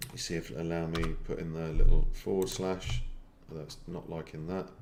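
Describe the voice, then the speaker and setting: At a fairly quick pace and with ordinary pitch variation, the voice shows big swings in loudness against audible room echo. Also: man, very deep, low pitch for a man. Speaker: online marketing trainer. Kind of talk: live screen-share tutorial. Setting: live stream. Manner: fast.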